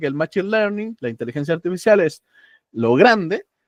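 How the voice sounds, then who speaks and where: A high-pitched man talks at a fairly quick pace with very wide pitch swings, in a dry, close sound with no echo. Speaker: AI course instructor. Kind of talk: online lecture.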